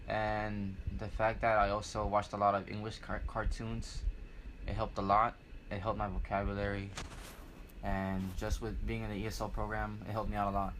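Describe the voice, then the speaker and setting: Recorded with audible room echo, a man with an American accent speaks at a fairly quick pace. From Houston, Texas. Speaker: interviewee, college student. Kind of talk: interview. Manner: halting.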